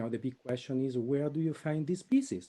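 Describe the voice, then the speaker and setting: A man's voice at medium pitch has a dark, mellow tone and an Italian accent. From Italy. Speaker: computer science professor. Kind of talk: webinar presentation.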